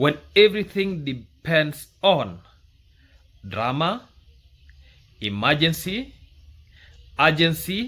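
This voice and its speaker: With a Kenyan accent, a man speaks very slowly at a fairly high pitch, his tone bright and sharp with vocal fry and very wide pitch swings, on a very clean recording with a silent background. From Kenya, rural village. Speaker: YouTube commentator. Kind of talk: commentary monologue.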